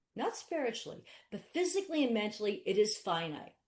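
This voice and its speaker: A voice with very wide pitch swings and an animated tone moves at a fairly quick pace. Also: woman. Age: 60s. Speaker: attorney. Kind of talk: webinar interview. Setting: webinar.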